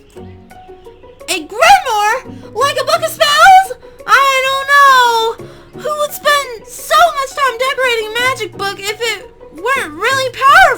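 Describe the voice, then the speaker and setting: A woman's put-on character voice at an extremely high pitch, fairly slow pace, faint music behind. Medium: solo performance. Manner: gushing.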